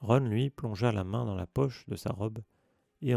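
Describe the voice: The pitch varies in an ordinary way during plain reading aloud. Little sound intrudes from a quiet background.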